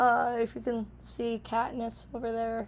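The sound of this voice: Monotone, flat intonation at a fairly slow pace. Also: woman, fairly high pitch for a woman.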